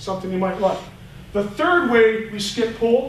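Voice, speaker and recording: A man's high-pitched voice at a fairly quick pace, with audible room echo and noticeable background noise. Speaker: high school football line coach. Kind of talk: coaching clinic lecture. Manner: fast.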